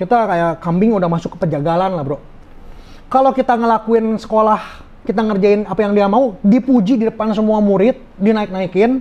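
Here a man speaks in a high pitch. His pace is fairly quick and his tone animated. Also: ordinary pitch variation. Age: 30s. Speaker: businessman, fraud victim; podcast guest. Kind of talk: interview testimony. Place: studio. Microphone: lapel.

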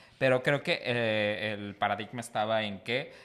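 A man speaks at a moderate pace. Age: 20s. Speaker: podcast co-host. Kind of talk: casual chat. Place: studio. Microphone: studio mic.

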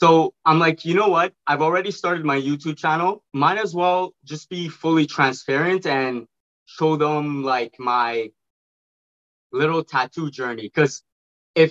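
Against a quiet background, a man speaks at a moderate pace with an animated tone. His fairly high pitch shows ordinary variation. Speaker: online video creator. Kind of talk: casual chat. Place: home room. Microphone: video call.

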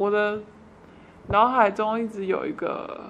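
Talking fairly slowly, a woman uses a medium pitch. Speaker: interviewee recounting childhood abuse. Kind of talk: personal testimony.

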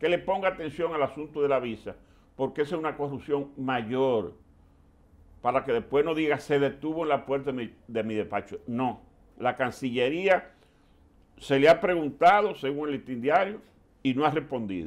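A man at a moderate pace, medium in pitch, with lively intonation

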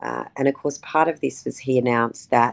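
An Australian accent at a fairly quick pace. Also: woman. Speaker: politician. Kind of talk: interview. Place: home room. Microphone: video call.

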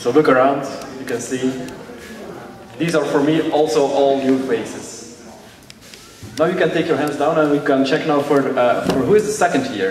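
Amid noticeable background noise, a fairly high-pitched man speaks at a moderate pace with ordinary pitch variation and long, frequent pauses. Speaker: youth amateur radio participant. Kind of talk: ceremony speech. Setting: stage with audience.

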